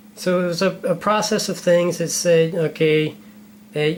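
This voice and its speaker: Noticeable background noise runs through the clip. The talking goes at a fairly slow pace. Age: 40s. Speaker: interviewer asking questions on camera. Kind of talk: casual interview conversation. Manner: halting, many repeated words.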